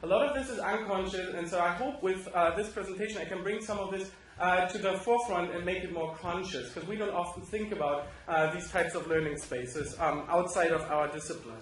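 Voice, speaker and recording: Amid noticeable background noise and audible room echo, a man with a German accent talks at a fairly quick pace and high pitch with ordinary pitch variation, hardly pausing at all. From Germany. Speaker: professor. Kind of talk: conference presentation. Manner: hesitant, many fillers.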